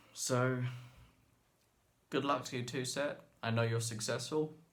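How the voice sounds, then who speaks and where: At a moderate pace, a man talks with a medium pitch and fairly even intonation in a room with audible echo. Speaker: violin and viola teacher. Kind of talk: emotional open-letter monologue. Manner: halting.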